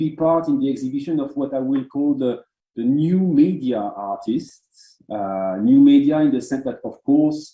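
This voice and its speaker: A man with a French accent, fairly high-pitched for a man, with lively intonation at a fairly slow pace. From France. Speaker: art curator and moderator. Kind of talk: online talk introduction. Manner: halting.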